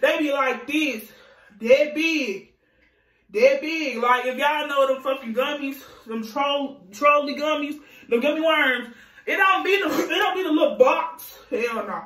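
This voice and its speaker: The voice moves with ordinary pitch variation amid audible room echo. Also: woman, high pitch for a woman. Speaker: vlogger. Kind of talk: storytime. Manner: fast; animated.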